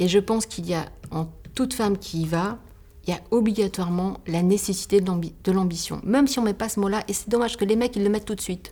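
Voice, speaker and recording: At a fairly quick pace, a woman speaks with a dark, mellow, somewhat breathy tone and ordinary pitch variation. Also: medium pitch for a woman. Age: 50s. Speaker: bookbinder and entrepreneur. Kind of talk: podcast interview. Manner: halting.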